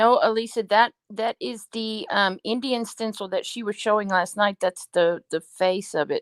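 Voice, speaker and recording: A woman talks at a moderate pace with hardly any pauses, her pitch fairly high and its variation ordinary. The sound is dry and close with no echo. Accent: New York. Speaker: co-host. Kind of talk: casual chat.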